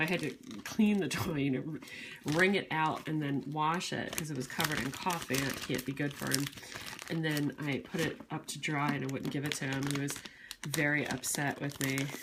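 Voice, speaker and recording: A soft-spoken woman's very deep, low voice, fairly even in intonation, at a moderate pace over noticeable background noise. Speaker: wax reviewer vlogger. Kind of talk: casual vlog chat. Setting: at home. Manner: soft-spoken, quiet; rambling, chatty.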